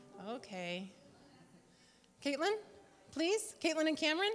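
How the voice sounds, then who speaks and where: A woman is speaking. Faint music can be heard in the background. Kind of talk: casual instructions to congregation. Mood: cheerful, playful. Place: church.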